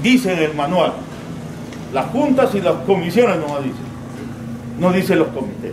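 With noticeable background noise, a man speaks at a fairly slow pace in a fairly high pitch that makes very wide swings. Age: 60s. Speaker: regional government official. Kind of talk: public meeting speech. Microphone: camera far.

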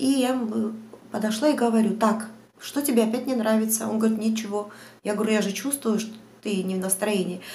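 Fairly high pitch from a woman, with fairly even intonation, long, frequent pauses and light background noise. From Georgia, Batumi; Georgia. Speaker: vlogger. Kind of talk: Q&A vlog monologue. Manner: hesitant, many fillers. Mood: chatty, storytelling. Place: home room. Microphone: lapel.

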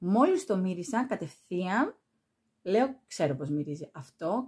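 Over a quiet background, a woman speaks fairly slowly at a medium pitch. Her somewhat breathy voice has lively intonation. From Greece. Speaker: perfume YouTuber; perfume reviewer. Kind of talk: product review vlog. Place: home room.

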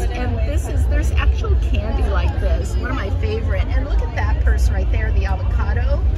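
A woman talks at a moderate pace with ordinary pitch variation while crowd noise carries on in the background. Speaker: vlogger. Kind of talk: casual vlog chat. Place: market. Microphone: phone near.

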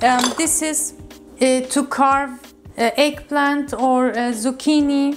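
Over clear background music, a woman speaks very slowly in a high pitch. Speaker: video host. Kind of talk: casual kitchen tour tutorial. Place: kitchen. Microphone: lapel.

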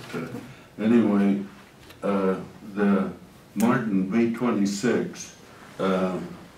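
In a room with audible echo and light background noise, a man with a very deep, low voice speaks very slowly and with fairly even intonation. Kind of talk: talk to an audience. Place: meeting room.

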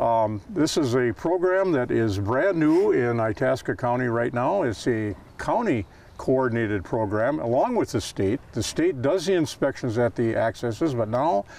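The recording is dry, with no echo. A man talks at a moderate pace. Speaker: outdoor TV show host. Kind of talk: TV host introduction. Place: waterside.

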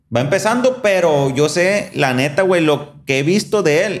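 A man with a high pitch talks at a fairly slow pace in an animated tone with lively intonation, against noticeable background noise. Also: hardly any pauses. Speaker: podcast host. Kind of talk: casual chat.

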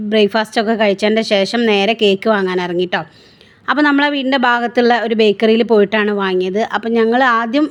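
In a normal speaking voice, a woman talks at a fairly high pitch with ordinary variation and very even loudness. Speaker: vlogger. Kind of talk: vlog narration. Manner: casual, chatty.

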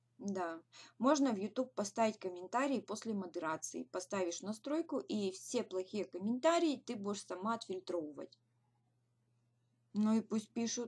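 A woman of medium pitch speaks at a moderate pace with lively intonation, a somewhat breathy quality and long, frequent pauses. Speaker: direct sales team leader; webinar host. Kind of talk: webinar. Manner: hesitant fillers. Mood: encouraging, motivational. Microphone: webcam.

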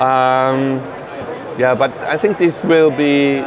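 A man speaks with fairly even intonation and a fairly high pitch for a man, over clear background noise.

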